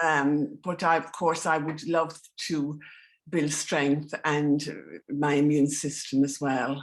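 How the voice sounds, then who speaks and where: At a very slow pace, a woman speaks in a very deep, low pitch with monotone, flat intonation. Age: 70s. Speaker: participant. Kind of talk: casual chat. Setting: video call. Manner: halting.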